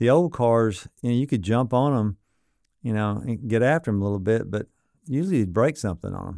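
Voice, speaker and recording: On a very clean recording with a silent background, a man with a Southern US accent speaks at a moderate pace in a dark, mellow tone at a fairly low pitch. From Arkansas (Sardis area). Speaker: exotic car dealer. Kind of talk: casual interview chat.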